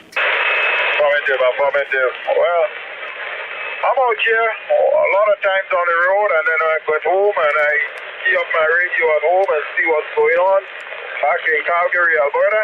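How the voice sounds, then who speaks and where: A moderate pace with noticeable background noise. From Grenada, West Indies. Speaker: truck driver, radio operator. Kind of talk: radio contact chat. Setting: mobile radio in truck, Jasper Park.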